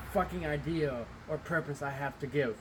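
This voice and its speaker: At a moderate pace, the talking carries over noticeable background noise. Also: man. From Middle Eastern family. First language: not English. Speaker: pro wrestler. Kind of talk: angry rant to camera. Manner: heated, halting with restarts.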